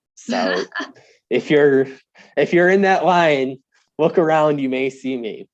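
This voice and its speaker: A man with a strong Wisconsin accent, fairly high in pitch and fairly slow, over a quiet background. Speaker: sports reporter, podcast guest.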